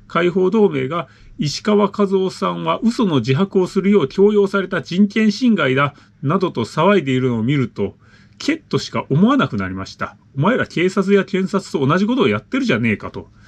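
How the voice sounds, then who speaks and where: Talking at a moderate pace, a man uses a high voice that swings very widely in pitch. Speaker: channel host reading listener letters. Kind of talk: reading aloud a listener letter with commentary. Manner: casual, filler-heavy commentary. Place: home room.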